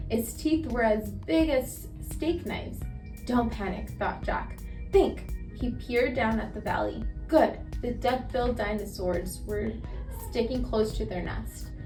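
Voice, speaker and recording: Music plays in the background as a woman speaks. She goes at a fairly slow pace with long, frequent pauses. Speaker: storyteller. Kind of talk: children's read-aloud. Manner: calm, relaxed pace.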